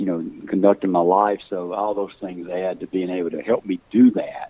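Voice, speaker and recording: A man talks with a very deep, low pitch. His intonation stays monotone and flat. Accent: Mississippi. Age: 60s. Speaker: hunting call company founder. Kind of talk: casual chat. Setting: podcast.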